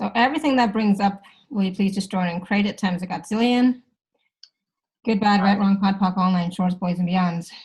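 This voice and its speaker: The speech comes at a fairly quick pace and sounds somewhat breathy. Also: woman, medium pitch for a woman, ordinary pitch variation. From Canada. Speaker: facilitator. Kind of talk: live facilitation session. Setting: live video call. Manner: fast.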